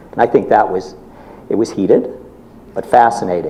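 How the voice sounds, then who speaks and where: Noticeable background noise sits behind the recording. A man talks at a moderate pace. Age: 60s. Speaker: book club member on a festival panel. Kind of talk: panel discussion.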